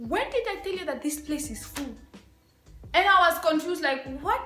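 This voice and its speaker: A woman speaks in a raised, projected voice at a high pitch and moderate pace, with very wide pitch swings. Noticeable background noise and audible room echo surround her. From Africa. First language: African local language. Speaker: YouTuber. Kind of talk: casual vlog tag video. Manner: animated.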